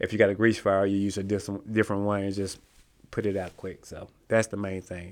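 Heard on a very clean recording with a silent background, a man with a Southern US accent speaks at a fairly quick pace with a fairly low pitch, monotone, flat intonation and big swings in loudness. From Mississippi. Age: 50s. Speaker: small business owner. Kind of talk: casual chat.

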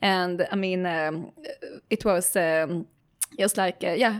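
A woman speaks with a Swedish accent. She goes at a fairly slow pace. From Sweden. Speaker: tech startup CEO. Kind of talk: interview.

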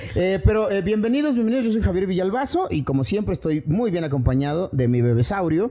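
Hardly pausing, a man talks at a fairly quick pace in a high pitch with very wide pitch swings. His tone is dark and mellow. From Chiapas, Mexico. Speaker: podcast host. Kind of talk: casual chat. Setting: studio.

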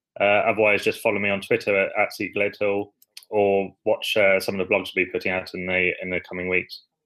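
Speaking with an English accent, a man talks at a fairly quick pace. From England. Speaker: startup CEO, banker. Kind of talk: interview.

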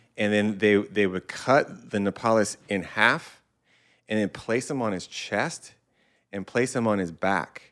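In a very clean recording with a silent background, a man with an American accent and a normal speaking voice talks fairly slowly at a fairly low pitch with ordinary pitch variation. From Southern California. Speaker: podcast co-host. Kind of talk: casual chat.

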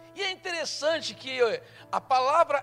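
This man's tone is bright and sharp. His intonation is lively. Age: 60s. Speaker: pastor. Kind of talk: sermon.

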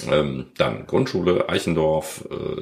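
A man speaks with a very deep, low pitch. Noticeable background noise and audible room echo surround him. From Germany, Krefeld (Lower Rhine). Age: 50s. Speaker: sports retailer and local business association chair. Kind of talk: interview. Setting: conference room in his shop.

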